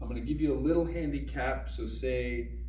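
Here a man speaks with a very deep, low pitch and flat, monotone intonation. The recording has audible room echo and light background noise. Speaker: fitness coach. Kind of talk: tutorial. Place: gym. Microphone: camera far.

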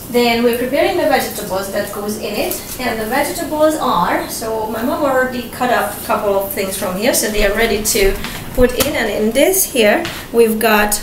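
Audible room echo surrounds a woman speaking at a fairly high pitch and a fairly slow pace with lively intonation.

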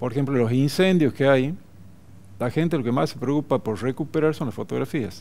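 A man's dark, mellow voice at a fairly quick pace, with ordinary pitch variation. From northern Salta, Argentina. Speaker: photographer; interviewee. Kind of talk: TV interview; interview answer. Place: studio. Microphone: headset.

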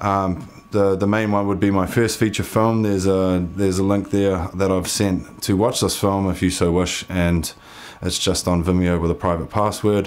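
With a New Zealand accent, the speaker keeps a moderate pace, very even loudness and fairly even intonation. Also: man, very deep, low pitch for a man. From New Zealand, Waitakere west of Auckland. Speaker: filmmaker and geologist. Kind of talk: grant application video, personal pitch. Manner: hesitant, many fillers and repetitions. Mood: sincere, earnest. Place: home room.

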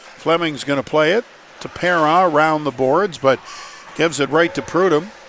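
A man's fairly high-pitched voice with fairly even intonation, dry with no echo, over noticeable background noise. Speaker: hockey play-by-play commentator. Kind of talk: live hockey commentary. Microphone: headset.

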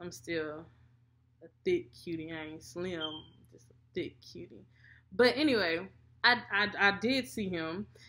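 Her fairly low voice has a bright, sharp tone, with big swings in loudness, long, frequent pauses and light background noise. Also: lively intonation, fairly slow pace. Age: 20s. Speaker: mom vlogger. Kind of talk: casual chat. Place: home room. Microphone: webcam.

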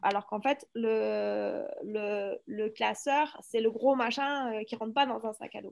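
A woman's fairly high voice in a southeastern French accent, with dry sound, no echo and a quiet background. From France. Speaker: workshop participant; teacher. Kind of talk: casual chat. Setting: video call. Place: classroom. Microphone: video call.

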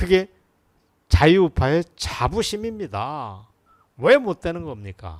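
Speaking at a very slow pace with long, frequent pauses, a man swings his pitch very widely over a silent background in a very clean recording. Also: fairly high pitch for a man. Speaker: political commentator. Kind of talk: political commentary monologue.

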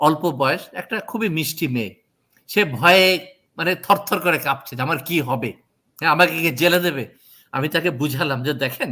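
Recorded very cleanly against a silent background, a man speaks in a fairly high pitch with a bright, sharp tone and ordinary pitch variation. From Bangladesh. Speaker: court interpreter. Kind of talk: interview.

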